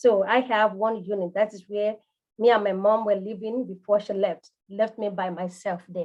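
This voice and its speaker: A woman's fairly high voice with a Nigerian accent, at a fairly quick pace. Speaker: home care business coach. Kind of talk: live coaching session. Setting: livestream.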